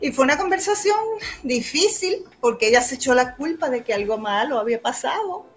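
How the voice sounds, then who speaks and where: A woman with a high pitch and very wide pitch swings talks at a moderate pace over noticeable background noise. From Puerto Rico, Humacao. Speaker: actress. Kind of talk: casual chat.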